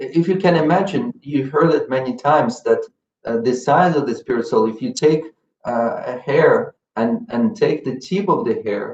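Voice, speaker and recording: A man speaks with a non-native accent at a fairly slow pace. His fairly high pitch swings very widely. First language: not English. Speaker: spiritual teacher. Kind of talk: religious lecture. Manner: halting, with fillers and repetitions.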